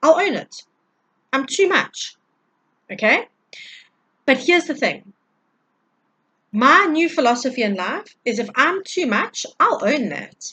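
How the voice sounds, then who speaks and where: Raised and projected, a woman's high-pitched voice has a bright, sharp, animated tone, very wide pitch swings, and a fairly slow pace broken by long, frequent pauses. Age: 40s. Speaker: tarot reader and energy healer. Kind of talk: spiritual energy update monologue. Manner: loud.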